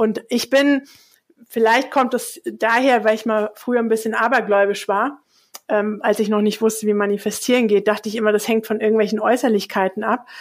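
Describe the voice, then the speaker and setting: A woman talks in a normal speaking voice, fairly high in pitch. Her intonation is fairly even, and her pace is moderate. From Hesse, Germany. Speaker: communication coach. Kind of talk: interview.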